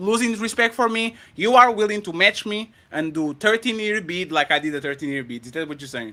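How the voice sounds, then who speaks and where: In a raised, projected voice with a bright, sharp tone and a non-native accent, the speaker moves at a fairly quick pace with hardly any pauses, very wide pitch swings and big swings in loudness. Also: man, high pitch for a man. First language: not English. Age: 30s. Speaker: podcast panel host. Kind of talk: heated debate. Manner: animated.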